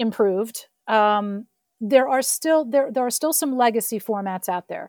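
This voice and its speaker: A woman with a fairly high voice talks at a fairly slow pace in a very clean recording with a silent background and a dry, close sound with no echo. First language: French. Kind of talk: interview.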